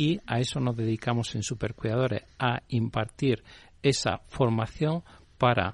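A man speaks at a medium pitch against a quiet background. He has a plain, everyday voice. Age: 60s. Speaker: CEO of a caregiver training company. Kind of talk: interview.

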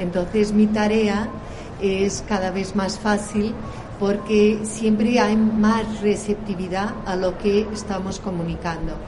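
Over noticeable background noise and audible room echo, a woman speaks at a very slow pace. Her medium-pitched voice stays monotone and flat. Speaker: tourism promotion official. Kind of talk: panel interview.

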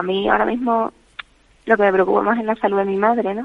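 This is a woman with an ordinary speaking voice. Her pitch is medium, with ordinary pitch variation. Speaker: caregiver's daughter. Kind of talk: radio interview. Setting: phone call. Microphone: bad connection.

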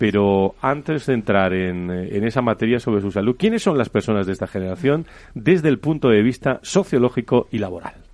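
Against a quiet background, a man with an ordinary speaking voice talks fairly quickly at a medium pitch. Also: lively intonation. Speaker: radio host. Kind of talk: radio panel discussion.

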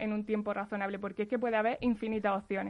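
This woman's pitch is fairly high. She talks at a very fast pace. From Andalusia, Spain (Jaén). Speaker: data scientist. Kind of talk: interview.

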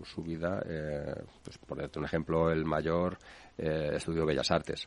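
A man speaks in a very deep, low pitch at a fairly slow pace. His intonation is monotone and flat. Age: 60s. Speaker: real estate developer and company president. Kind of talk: interview. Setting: radio studio. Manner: hesitant, repeats words.

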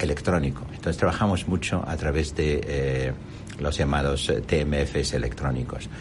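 In an Arabic accent, a man with a very deep, low pitch speaks at a fairly slow pace amid noticeable background noise and audible room echo. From Jordan. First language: Arabic (speaking Spanish). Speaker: company executive. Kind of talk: interview. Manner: halting.

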